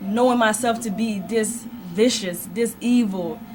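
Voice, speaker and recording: Music sits in the background while a woman talks with fairly even intonation. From Liberia. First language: not English. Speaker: church member guest. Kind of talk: radio interview testimony.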